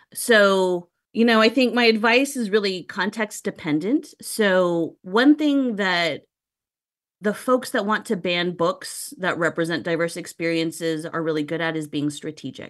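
Against a quiet background, a woman with a normal speaking voice talks at a fairly low pitch with lively intonation. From Texas, San Antonio. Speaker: professor. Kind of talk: interview.

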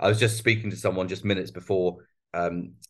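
Against a quiet background, a man speaks with a very deep, low pitch and fairly even intonation. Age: 50s. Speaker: business trainer and entrepreneur. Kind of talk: interview. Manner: halting, many fillers and restarts.

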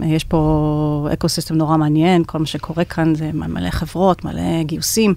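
Monotone, flat female speech at a moderate pace, very deep and low in pitch. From United States. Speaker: venture capital partner. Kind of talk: interview. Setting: studio.

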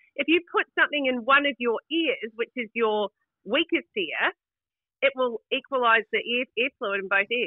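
A woman with a New Zealand accent speaks at a moderate pace in a high voice, her intonation lively. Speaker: caller. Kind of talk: casual chat. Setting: phone call. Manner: animated.

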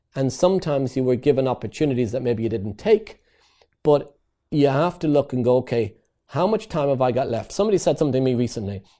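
Speaking very fast in an Irish accent, a man uses a medium pitch and a dark, mellow tone, with lively intonation. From Ireland. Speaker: property investor and trainer. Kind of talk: interview.

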